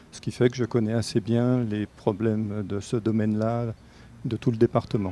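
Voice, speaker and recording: A man talks at a moderate pace in a medium pitch with monotone, flat intonation and big swings in loudness. Music plays in the background. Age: 60s. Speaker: political candidate, retired nurse. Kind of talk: interview.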